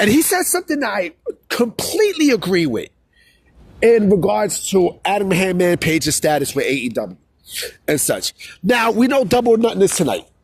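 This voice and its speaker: A man with a New York accent, high-pitched, with very wide pitch swings, a moderate pace and long, frequent pauses. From New York City. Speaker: wrestling commentary YouTuber. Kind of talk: casual vlog commentary. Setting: outdoors in a city plaza. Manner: casual, repetitive with filler phrases.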